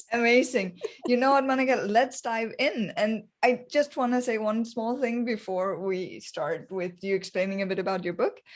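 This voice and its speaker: A woman with a non-native accent speaks at a moderate pace with hardly any pauses. Her pitch is fairly high, with ordinary variation. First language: not English. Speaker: podcast host. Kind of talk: interview.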